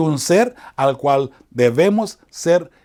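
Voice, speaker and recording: On a very clean recording with a silent background, a man with a fairly high pitch talks with lively intonation. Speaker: chaplain and evangelist teaching Bible lessons. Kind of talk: Bible study lesson. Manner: fast; hesitant, many fillers.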